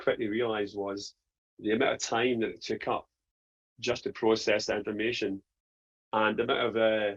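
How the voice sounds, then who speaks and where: In a Scottish accent, a man with a fairly low pitch speaks at a moderate pace with monotone, flat intonation against a quiet background. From Scotland. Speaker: print business owner. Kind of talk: testimony.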